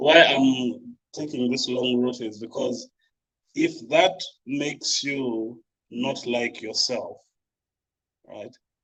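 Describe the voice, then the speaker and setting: Very slowly, a man speaks with long, frequent pauses. His loudness swings widely. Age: 30s. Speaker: podcast co-host. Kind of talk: casual panel discussion. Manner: halting, many repetitions.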